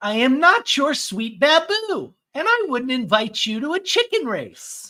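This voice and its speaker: This put-on character voice sits high in pitch with very wide swings. The pace is moderate. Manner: imitated cartoon voice.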